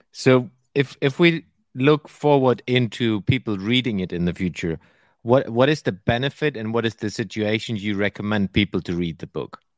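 Here is a man with a plain, everyday voice at medium pitch and lively intonation. The pace is moderate, and the sound is dry and close with no echo. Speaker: podcast host. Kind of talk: casual interview conversation.

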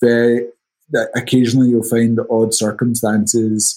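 A man with a Scottish accent speaks at a medium pitch in a dark, mellow tone. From Scotland. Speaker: title company executive. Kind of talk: interview.

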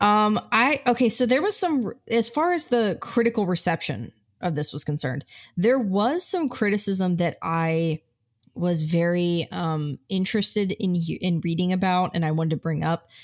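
The speaker has a normal speaking voice with an American accent and lively intonation. The pace is moderate, on a very clean recording with a silent background. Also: woman, medium pitch for a woman. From Italian American family. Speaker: film podcast co-host. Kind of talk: casual chat.

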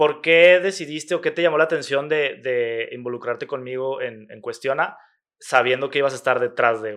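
This is a man with an ordinary speaking voice, fairly high-pitched, with ordinary pitch variation at a moderate pace. His loudness swings a lot against a quiet background. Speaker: podcast host. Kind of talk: casual chat.

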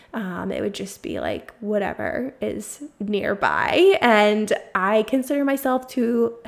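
This woman's voice sits at a fairly high pitch and shows ordinary pitch variation. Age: 30s. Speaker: podcast host, prenatal and postnatal fitness coach. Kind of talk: casual personal update monologue. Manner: laid back.

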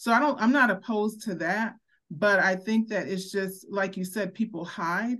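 A woman with an ordinary speaking voice talks at a moderate pace in a medium pitch with ordinary pitch variation against a quiet background. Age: 50s. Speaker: podcast co-host. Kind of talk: casual chat.

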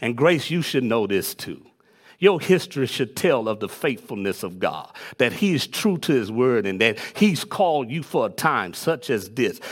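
Medium-pitched male speech with very wide pitch swings at a moderate pace, on a very clean recording with a silent background. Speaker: preacher. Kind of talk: sermon. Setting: church. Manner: animated; call-and-response, fervent.

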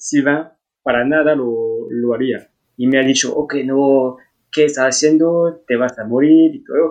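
A man talks at a fairly slow pace with a French accent. His pitch is fairly high. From France. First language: French (speaking Spanish). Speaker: traveller. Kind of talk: casual chat. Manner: halting.

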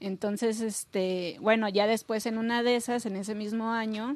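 An ordinary speaking voice comes through with fairly even intonation. The background is quiet. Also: woman. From Mexico City. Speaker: visual artist. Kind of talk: casual interview.

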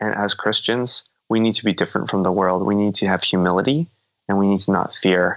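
Using a normal speaking voice, a man with an American accent speaks at a fairly quick pace and fairly low pitch, with ordinary pitch variation and very even loudness. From United States. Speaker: professor. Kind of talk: interview.

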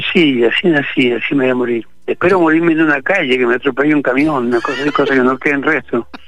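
Against noticeable background noise, a man talks at a very fast pace with hardly any pauses, his fairly high pitch showing ordinary pitch variation. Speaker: actor. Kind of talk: radio interview. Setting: phone call from the street.

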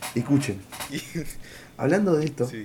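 A man speaks with a Rioplatense accent. His fairly high voice swings very widely in pitch. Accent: Argentine Rioplatense Spanish. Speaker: podcast co-host. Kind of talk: casual chat.

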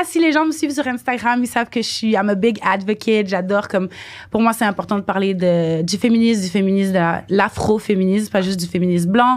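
Lively intonation shapes a woman's normal speaking voice at medium pitch, delivered at a moderate pace. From Quebec, Montreal. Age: 20s. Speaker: dancer and model. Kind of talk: casual chat.

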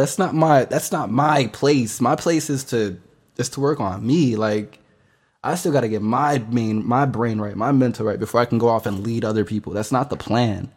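Animated man's voice at a moderate pace on a very clean recording with a silent background. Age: 20s. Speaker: podcast host. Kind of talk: casual monologue.

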